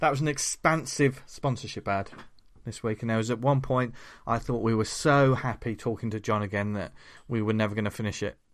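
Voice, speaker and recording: A man with a British accent at medium pitch, fairly quick and fairly even in intonation, over a quiet background. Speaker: comics podcast host. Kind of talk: casual chat.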